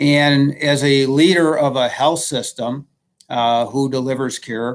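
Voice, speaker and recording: A man with a fairly high pitch, fairly even intonation and a very slow pace. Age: 60s. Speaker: health system executive. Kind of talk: livestream panel discussion.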